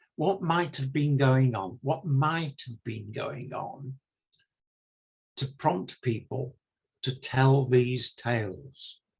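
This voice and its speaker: A man with an English accent speaks very slowly in a medium pitch, his voice somewhat breathy and his pitch varying in an ordinary way. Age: 70s. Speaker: retired minister and novelist. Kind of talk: interview.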